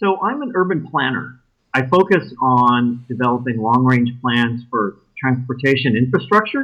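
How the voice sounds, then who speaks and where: A man with an American accent talks in a normal speaking voice at a medium pitch, a moderate pace and lively intonation. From West Texas (El Paso). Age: 50s. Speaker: podcast dating show bachelor, urban planner. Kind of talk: casual interview. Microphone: audio issues.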